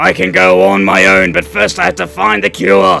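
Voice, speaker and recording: A man's put-on character voice, raspy and very deep, monotone and flat at a moderate pace, with clear music in the background. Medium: game stream.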